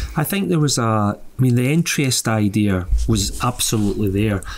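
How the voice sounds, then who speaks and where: The speaker has a Scottish accent and ordinary pitch variation. Light background noise sits underneath. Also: man. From Scotland, Lanarkshire; Scotland. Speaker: musician and author; guest. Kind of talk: casual chat. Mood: reflective, relaxed. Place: home room.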